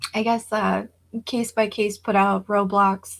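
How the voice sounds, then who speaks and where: Speaking at a very slow pace, a woman with a fairly high pitch sounds somewhat breathy, her intonation fairly even. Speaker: livestreamer. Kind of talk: casual livestream chat. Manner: hesitant, many fillers.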